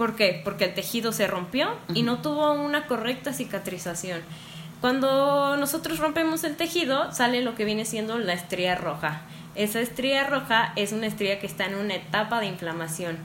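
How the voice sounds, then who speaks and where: A woman at a moderate pace, fairly high in pitch with very wide pitch swings, against audible room echo. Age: 20s. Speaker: dermatofunctional therapist. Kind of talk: interview. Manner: explanatory.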